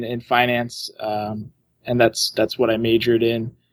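A man with a medium pitch speaks at a fairly slow pace. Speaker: caller. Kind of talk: casual conversation. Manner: halting.

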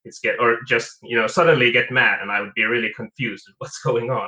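A man speaks with a non-native accent. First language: not English. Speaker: caller. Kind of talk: casual chat. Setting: phone call.

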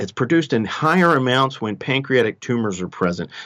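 Against a quiet background, a man with a Texan accent talks at a moderate pace with very wide pitch swings. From Texas. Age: 50s. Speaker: emergency doctor. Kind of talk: interview, medical explanation.

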